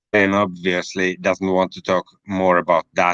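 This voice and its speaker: A man with a Finnish accent speaks in a bright, sharp tone, the sound dry and close with no echo. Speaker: livestream host. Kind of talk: casual chat.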